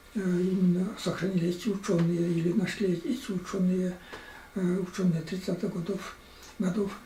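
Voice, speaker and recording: With noticeable background noise and audible room echo, a man talks in a high pitch with fairly even intonation. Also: moderate pace. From Chuvashia, Russia. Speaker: writer and historian. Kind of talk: interview. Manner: halting, many hesitations.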